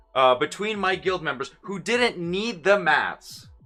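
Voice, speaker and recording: Speaking in a bright, sharp tone at a high pitch, a man with a slight Russian accent keeps a fairly slow pace in a very clean recording with a silent background. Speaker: gaming streamer. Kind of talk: live stream chat.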